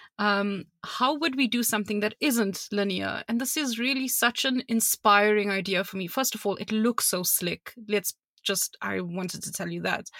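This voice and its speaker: With a South African accent, a woman speaks at a moderate pace and medium pitch, using ordinary pitch variation and a bright, sharp tone in a dry, close sound with no echo. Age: 30s. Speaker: podcast co-host. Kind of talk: casual chat.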